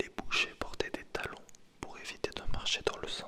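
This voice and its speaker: A man whispers amid noticeable background noise. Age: 20s. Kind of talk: ASMR video. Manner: whispered.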